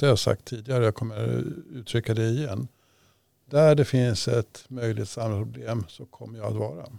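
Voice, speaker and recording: Heard in a dry, close sound with no echo, a man with a medium pitch and a dark, mellow tone speaks at a fairly quick pace with ordinary pitch variation. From Sweden, Stockholm region. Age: 60s. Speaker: local politician. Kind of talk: interview.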